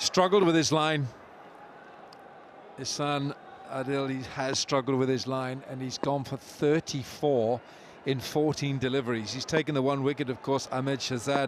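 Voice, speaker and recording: With a Welsh accent, a man speaks in a fairly high voice, leaving long, frequent pauses. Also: moderate pace. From Wales. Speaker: cricket commentator. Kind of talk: live commentary. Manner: animated.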